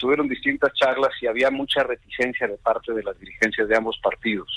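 A man talks at a fairly quick pace. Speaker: politician. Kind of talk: interview.

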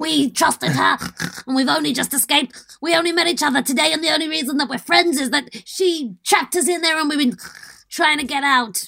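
In a put-on character voice, the speaker talks at a high pitch and a fairly quick pace.

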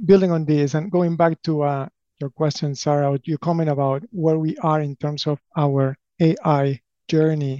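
A man with an Argentine accent speaks at a moderate pace and fairly high pitch, his tone dark and mellow and his intonation fairly even. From Argentina (Buenos Aires). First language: Spanish. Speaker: company president. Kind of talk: interview.

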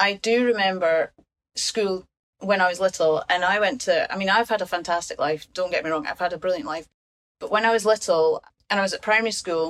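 A fairly quick pace and fairly even intonation in a Scottish accent. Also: woman. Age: 50s. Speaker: patient and primary teacher. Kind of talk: casual chat.

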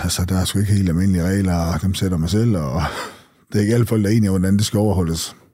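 A man speaks very fast in a very deep, low voice with a dark, mellow tone and fairly even intonation, and the room echo is audible. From North Jutland, Denmark (Skagen). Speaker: former drug dealer. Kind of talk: interview testimony.

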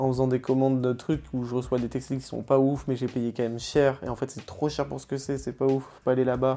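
A monotone, flat voice speaks over music in the background. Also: man, medium pitch for a man. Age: 20s. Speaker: 3D artist. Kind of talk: casual interview.

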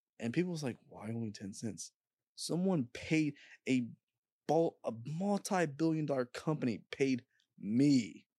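Fairly slow, fairly high-pitched speech from a man, lively in intonation, with long, frequent pauses, dry and close with no echo, over a quiet background. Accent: American. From Indianapolis, Indiana, US Midwest. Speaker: YouTuber. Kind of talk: casual chat.

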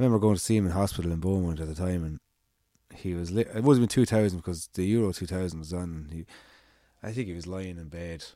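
With an Irish accent, a man speaks at a very deep, low pitch in a dark, mellow tone. He goes at a very fast pace, and the recording is very clean with a silent background. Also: ordinary pitch variation. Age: 30s. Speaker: amateur cyclist. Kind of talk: casual chat.

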